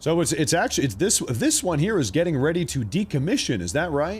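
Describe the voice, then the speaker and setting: Animated speech with vocal fry, very wide pitch swings and a fairly quick pace. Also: man. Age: 30s. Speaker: live news streamer. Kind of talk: live news commentary.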